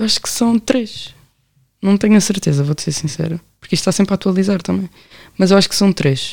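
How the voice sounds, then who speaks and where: Speaking at a very fast pace, a woman with a medium pitch and ordinary pitch variation leaves long, frequent pauses. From Portugal, Amadora (Lisbon area). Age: 20s. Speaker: law graduate running a youth help project. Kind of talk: casual interview chat.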